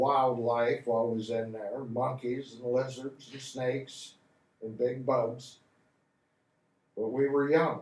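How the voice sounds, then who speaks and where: A man with a Midwestern American accent and a medium pitch, at a very slow pace, in a monotone, flat intonation, with big swings in loudness and long, frequent pauses. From Hardin County, Ohio. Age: 70s. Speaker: Vietnam War veteran. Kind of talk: interview answer. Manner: casual, folksy.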